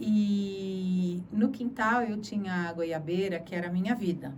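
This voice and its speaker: Speaking at a fairly slow pace, a woman with a medium pitch is heard with audible room echo. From Brazil, Sorocaba (São Paulo interior). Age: 60s. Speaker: journalist. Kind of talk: interview testimony.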